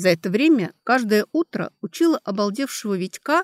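The clip has a natural reading voice with lively intonation. The background is quiet.

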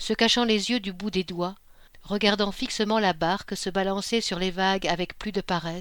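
An unforced reading voice

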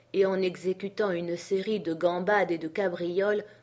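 An unforced reading voice with intonation kept fairly level

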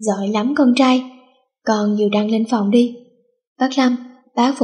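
With fairly even intonation, the text is read aloud in a natural voice while the background stays quiet.

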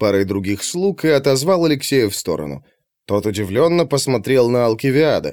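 Reading aloud in a natural voice, lively intonation against a quiet background

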